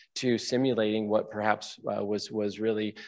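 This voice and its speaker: In quiet surroundings, a man speaks at a moderate pace. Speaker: conference presenter. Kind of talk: conference talk.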